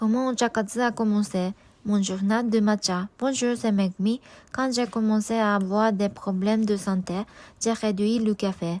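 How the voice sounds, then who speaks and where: A woman with a Japanese accent speaks fairly slowly at a fairly high pitch with fairly even intonation, on a very clean recording with a silent background. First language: Japanese (speaking French). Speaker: vlogger. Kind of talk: personal vlog narration.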